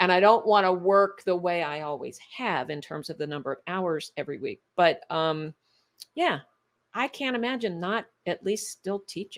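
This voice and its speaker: A woman speaks at a moderate pace in a normal speaking voice, medium in pitch, with lively intonation. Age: 60s. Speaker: functional medicine doctor. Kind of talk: interview conversation.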